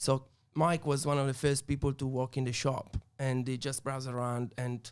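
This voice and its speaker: Here a man speaks at a medium pitch. His intonation is monotone and flat. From Italy, Turin. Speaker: wine bar owner. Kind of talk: podcast interview.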